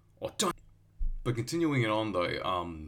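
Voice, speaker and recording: At a fairly quick pace, a man speaks in an Australian accent. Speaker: podcast host. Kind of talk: solo podcast monologue. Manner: hesitant, many fillers.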